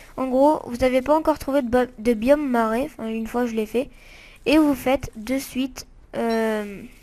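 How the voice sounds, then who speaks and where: A woman speaks at a fairly slow pace in a high voice with a dark, mellow tone. Her intonation stays fairly even. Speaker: gaming video creator. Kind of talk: let's play commentary. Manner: halting, many fillers.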